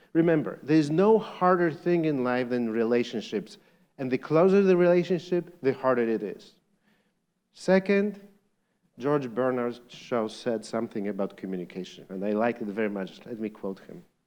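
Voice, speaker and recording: With a Polish accent, a man talks at a medium pitch and a moderate pace. His pitch swings very widely and his loudness shifts a lot. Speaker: lecturer.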